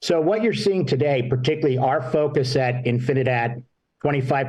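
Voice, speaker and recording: A man speaks at a fairly quick pace in a medium-pitched, somewhat breathy voice. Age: 60s. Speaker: marketing executive. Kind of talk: panel interview.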